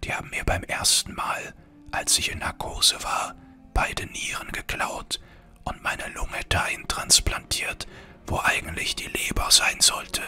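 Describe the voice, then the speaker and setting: A man whispering at a fairly slow pace, with music in the background. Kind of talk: ASMR-style gaming let's play with comedic rants.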